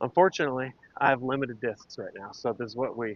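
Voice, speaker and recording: Very fast speech from a man at medium pitch. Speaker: streamer. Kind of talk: casual live-stream commentary. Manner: loud, projecting.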